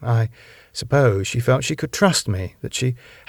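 Lively intonation marks this plain reading aloud.

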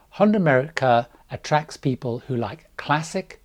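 A somewhat breathy man's voice at a moderate pace. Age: 60s. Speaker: cruise travel vlogger. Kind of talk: scripted narration.

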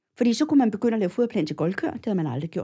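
Her voice sits at a medium pitch, dark and mellow in tone, as this woman moves through very wide pitch swings. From Copenhagen, Denmark. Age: 60s. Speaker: cattle feeding advisor. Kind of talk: interview. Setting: studio. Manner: hesitant, many filler sounds.

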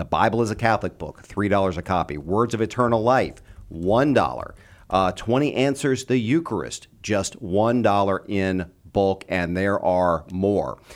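Very clean and set against a silent background, the recording has a man with a plain, everyday voice speaking at a fairly low pitch and moderate pace, with lively intonation. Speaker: fill-in radio host and fundraising director. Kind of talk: radio host. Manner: friendly, conversational.

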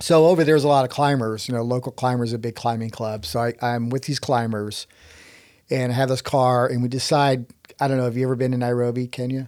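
Very fast and fairly even in intonation, a man with a Texas accent is heard on a very clean recording with a silent background. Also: medium pitch for a man. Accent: Texas, US South. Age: 60s. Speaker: inventor and rock climber. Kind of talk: casual storytelling in interview.

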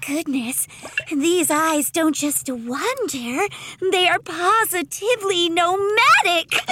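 A female-sounding voice, pitched extremely high, moves at a fairly slow pace through a put-on character voice. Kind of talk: comic audio drama. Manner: bubbly, excitable, sweetly macabre.

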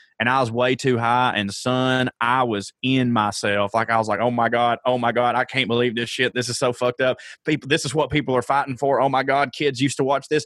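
A man with an American accent talks in an unremarkable speaking voice at a medium pitch and fairly quick pace, with hardly any pauses. The sound is dry and close with no echo, the intonation fairly even and the loudness very even. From US South, Georgia. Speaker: comedian, podcast co-host. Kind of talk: casual chat.

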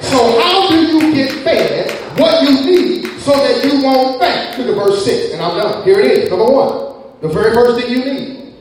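Amid noticeable background noise, a man speaks in an animated way at a moderate pace with hardly any pauses, his extremely high pitch making very wide swings. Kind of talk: sermon. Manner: animated, call-and-response preaching, urging the congregation to shout amen; fervent, rhythmic, repeating phrases for emphasis.

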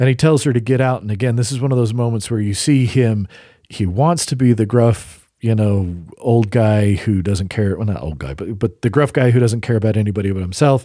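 Speaking at a moderate pace, a man has a dark, mellow tone, a medium pitch and ordinary pitch variation. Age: 40s. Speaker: podcast co-host. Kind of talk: casual chat.

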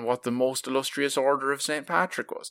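A man with an Irish accent speaks at a fairly quick pace with fairly even intonation. The recording is very clean with a silent background and a dry, close sound with no echo. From southeast Ireland. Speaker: podcast host. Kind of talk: casual chat.

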